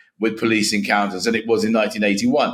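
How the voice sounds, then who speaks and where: A man speaks with a London accent. His voice has vocal fry and very wide pitch swings. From England, northwest London. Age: 60s. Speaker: author and education commentator. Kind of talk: interview.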